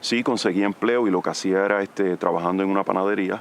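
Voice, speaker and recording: Speaking at a moderate pace, a man with a Puerto Rican accent has a fairly low-pitched voice. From Puerto Rico. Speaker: army veteran, federal employee. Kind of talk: interview testimony. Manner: halting, many fillers.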